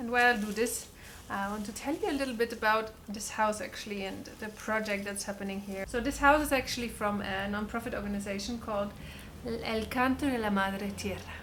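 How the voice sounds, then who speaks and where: Noticeable background noise and audible room echo surround the speech. A woman with a German accent talks at a fairly high pitch. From Germany. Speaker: vlogger. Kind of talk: casual vlog talk. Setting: at home. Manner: animated.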